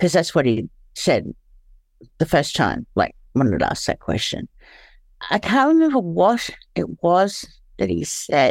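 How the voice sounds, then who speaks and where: Recorded very cleanly against a silent background, a woman with an Australian accent talks at a fairly slow pace with long, frequent pauses. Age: 40s. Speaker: former sex worker and recovering heroin user. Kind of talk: personal testimony in interview. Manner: halting, struggles to find words.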